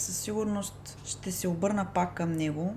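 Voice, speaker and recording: A woman talks rather slowly while background noise is clearly audible. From Bulgaria, Ruse. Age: 20s. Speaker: librarian. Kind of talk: interview.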